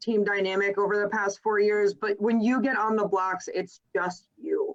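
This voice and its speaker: The speaker is a woman. Her voice sits at a medium pitch. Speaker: swim coach. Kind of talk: casual chat. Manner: loud.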